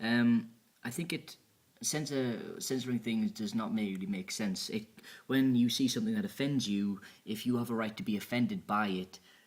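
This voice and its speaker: Lively intonation in a man's voice of medium pitch. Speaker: vlogger. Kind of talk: casual vlog. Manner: fast.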